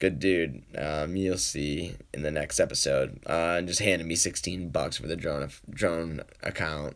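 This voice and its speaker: Fairly slow, nearly pause-free delivery with an American accent and fairly even intonation. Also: man, very deep, low pitch for a man. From New England, Boston, Massachusetts. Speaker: poker vlogger. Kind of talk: live stream Q&A, casual chat. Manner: casual, rambling with fillers.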